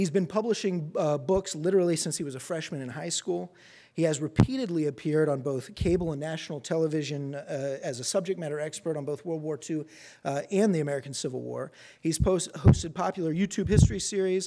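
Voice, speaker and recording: In a very clean recording with a silent background, a man talks at a very fast pace with a fairly high pitch, ordinary pitch variation, and a dark, mellow tone. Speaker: event host. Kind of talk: formal introduction. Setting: stage with audience. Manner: halting, filler words.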